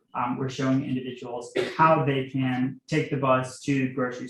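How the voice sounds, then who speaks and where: A man speaks at a medium pitch, somewhat breathy. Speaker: transportation planner presenting to town board. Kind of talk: presentation at public meeting. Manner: fast; filler-heavy, um and uh.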